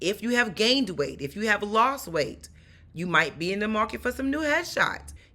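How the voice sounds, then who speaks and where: With a New York accent, a woman at medium pitch speaks at a moderate pace in an animated, bright, sharp tone, showing vocal fry and very wide pitch swings. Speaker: stunt performer and acting coach. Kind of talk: tutorial.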